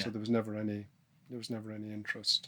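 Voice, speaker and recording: Soft-spoken and monotone with flat intonation, a man has a fairly low pitch and a bright, sharp tone. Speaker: snowboarding pioneer, podcast guest. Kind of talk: podcast interview answer. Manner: soft-spoken, thoughtful.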